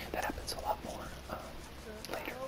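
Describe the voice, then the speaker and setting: Noticeable background noise surrounds a man who whispers. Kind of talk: ASMR video game let's play commentary.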